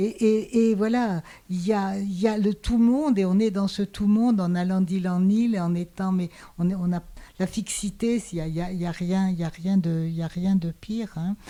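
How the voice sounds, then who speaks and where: A woman with a dark, mellow tone and medium pitch speaks at a moderate pace with fairly even intonation. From Hungary, raised in France. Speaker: sociologist and philosopher. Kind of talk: small-group discussion. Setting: small in-person gathering. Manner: halting, many repetitions.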